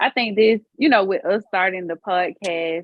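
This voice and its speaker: This woman speaks with a Southern US accent. Her pitch is medium, with ordinary variation. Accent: country, Southern US. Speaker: podcast co-host. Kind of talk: casual chat.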